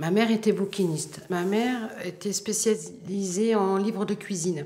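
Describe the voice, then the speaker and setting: A woman speaks at a medium pitch with a Parisian accent. Her pace is fairly slow and her intonation fairly even, with noticeable background noise. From France, Paris. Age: 60s. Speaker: bookseller. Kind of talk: documentary interview. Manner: hesitant, many fillers.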